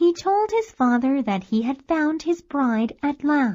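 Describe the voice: A woman's high-pitched voice with big pitch swings, a dark, mellow tone and a slow pace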